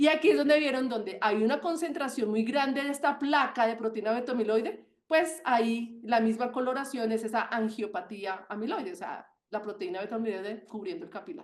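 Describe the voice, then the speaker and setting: In an animated, passionate tone, a woman talks at a fairly quick pace with hardly any pauses, her fairly high voice carrying lively intonation. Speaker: medical doctor giving webinar talk. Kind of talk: webinar lecture. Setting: online webinar. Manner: fast.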